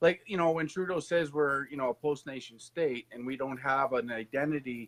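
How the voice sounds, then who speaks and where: A man with a Canadian accent has an unremarkable speaking voice, fairly high in pitch. He talks at a moderate pace with ordinary pitch variation. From Canada. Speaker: political candidate and host. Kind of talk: live stream interview.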